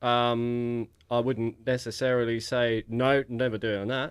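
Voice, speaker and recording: In a very clean recording with a silent background, a man with an English accent speaks very slowly at a medium pitch. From England, Luton area (Bedfordshire village). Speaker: podcast guest. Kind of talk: casual chat.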